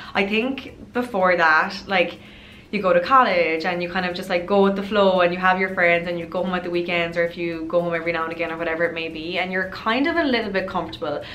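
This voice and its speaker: A woman with an Irish accent and fairly low pitch at a very fast pace, amid noticeable background noise and audible room echo. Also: fairly even intonation. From Ireland. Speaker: lifestyle youtuber. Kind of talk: casual vlog advice talk. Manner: chatty, many fillers.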